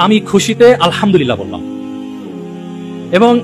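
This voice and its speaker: A high-pitched man's voice with music in the background. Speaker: father and Islamic speaker telling a parenting story. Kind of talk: Islamic motivational talk with personal anecdote.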